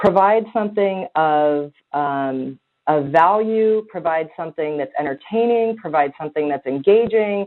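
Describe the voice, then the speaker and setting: Lively intonation runs through the woman's fairly low-pitched speech. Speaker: content marketing strategist. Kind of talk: webinar Q&A. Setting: live webinar call. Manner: fast.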